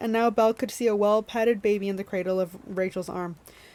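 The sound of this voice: The speaker uses an unforced reading voice. Pitch stays fairly even throughout.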